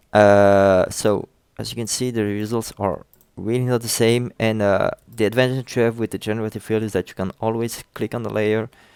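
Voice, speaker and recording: With a French accent, a man speaks at a moderate pace in a medium-pitched, monotone voice with flat intonation, the sound dry with no echo over a quiet background. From France. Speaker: software tutorial creator. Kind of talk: tutorial. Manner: halting, many fillers.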